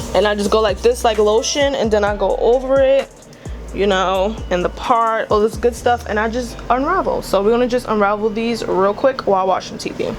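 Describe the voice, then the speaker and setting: A woman with a New York accent, a fairly high pitch and ordinary pitch variation, music in the background. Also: moderate pace. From Brooklyn, New York. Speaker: beauty vlogger. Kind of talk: casual tutorial talk to camera.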